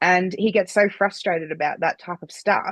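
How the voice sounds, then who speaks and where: A woman with an Australian accent, medium in pitch with ordinary variation, bright and sharp in tone at a moderate pace, in a dry, close sound with no echo. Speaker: podcast host. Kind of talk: podcast interview.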